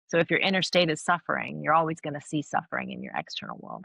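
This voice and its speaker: A woman with an American accent at a very fast pace, the sound dry and close with no echo. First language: Farsi. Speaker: academic and author. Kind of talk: interview. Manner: animated.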